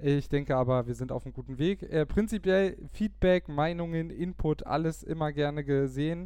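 A man with a fairly high pitch, a dark, mellow tone, fairly even intonation and a moderate pace. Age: 20s. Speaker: podcast host, cycling team press officer. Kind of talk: casual podcast chat.

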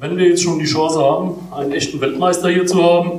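The voice speaks in a flat, monotone intonation with audible room echo. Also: man. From Palatinate, Germany. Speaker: football historian. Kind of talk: formal speech. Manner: formal.

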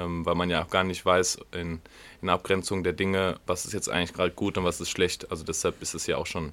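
At a fairly quick pace, a man speaks in a very deep, low pitch with monotone, flat intonation in a very clean recording with a silent background. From Germany, Wiedenbrück (Westphalia). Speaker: podcast host, rugby player. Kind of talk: casual chat. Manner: hesitant, many fillers.

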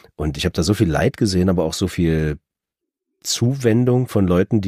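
Very deep and low, a man's voice moves at a moderate pace with ordinary pitch variation in a dry, close sound with no echo. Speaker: audiobook narrator. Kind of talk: casual chat.

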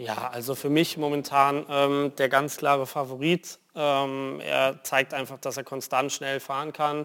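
A man's fairly high, monotone voice with flat intonation, at a fairly slow pace and with hardly any pauses. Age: 20s. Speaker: racing driver. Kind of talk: TV interview. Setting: studio.

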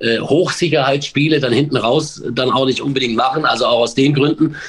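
At a moderate pace, a man talks in a medium pitch. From Baden-Württemberg (Pforzheim), Germany. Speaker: sports commentator and stadium announcer. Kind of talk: casual chat. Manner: halting.

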